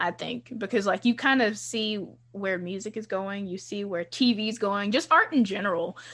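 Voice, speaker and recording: A woman with an American accent speaks at a moderate pace, her voice medium-pitched with ordinary pitch variation. Her tone is bright and sharp against a quiet background. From US South, Charlotte area, North Carolina. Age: 20s. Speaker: podcast host. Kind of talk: casual chat.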